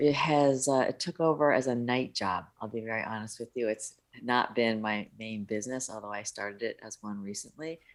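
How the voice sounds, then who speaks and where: In an American accent, a woman talks at a moderate pace. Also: very clean recording, silent background. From US, upstate New York. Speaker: business consultant. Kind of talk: interview.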